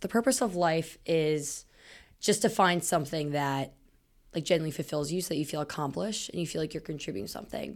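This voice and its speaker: With an American accent, a woman speaks at a fairly low pitch and a fairly quick pace, with vocal fry. The recording is very clean, with a silent background. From Smithsburg, Maryland, US. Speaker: podcast host, college student. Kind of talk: casual chat between friends.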